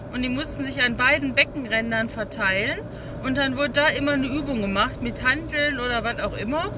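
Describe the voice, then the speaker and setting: A dry sound with no echo, over noticeable background noise. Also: woman. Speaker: vlogger. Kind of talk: casual vlog chat. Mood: relaxed, chatty. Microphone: phone near.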